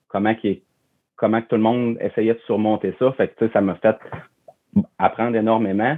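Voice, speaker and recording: A man with a fairly low voice talks in a flat monotone, neither hurried nor slow. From Quebec, Charlevoix (Baie-Saint-Paul). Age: 30s. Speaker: campground manager. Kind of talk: interview conversation.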